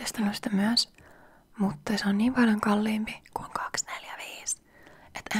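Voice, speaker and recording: A soft-spoken woman talks at a moderate pace in a relaxed tone and a fairly high pitch. Noticeable background noise can be heard. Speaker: ASMR creator. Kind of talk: soft-spoken ASMR chat to camera. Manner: soft-spoken, relaxed, chatty.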